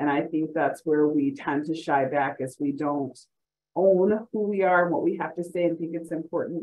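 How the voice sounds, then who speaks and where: Speaking with an American accent, a woman uses a normal speaking voice, fairly low in pitch, with fairly even intonation at a moderate pace. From US South, Mississippi. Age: 40s. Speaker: panelist, healthcare leader. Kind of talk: panel discussion.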